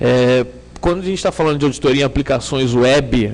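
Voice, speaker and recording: A man with a Rio de Janeiro accent talks at a fairly quick pace and a medium pitch. Noticeable background noise runs underneath. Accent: Rio de Janeiro (carioca) accent, noticeable. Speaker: security consultant / conference speaker. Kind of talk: conference talk. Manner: hesitant, many fillers.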